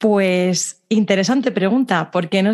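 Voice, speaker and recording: A woman with a Spanish accent speaks at a fairly slow pace. Her pitch variation is ordinary, and the background is quiet. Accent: Spanish (Spain) Spanish. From Spain. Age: 30s. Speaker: dietitian and social media creator. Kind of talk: interview. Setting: video call.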